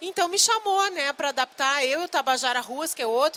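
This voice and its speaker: A woman with a strong southern Brazilian accent talks at a fairly quick pace. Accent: gaúcho, strong. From Rio Grande do Sul, Brazil. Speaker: novelist and screenwriter. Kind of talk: live talk with audience. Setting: book fair stand with audience.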